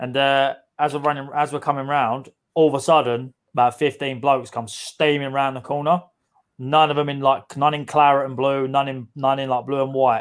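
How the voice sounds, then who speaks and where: The speaker has a London accent and a monotone, flat intonation. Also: man, fairly high pitch for a man, moderate pace. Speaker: podcast co-host. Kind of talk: casual chat.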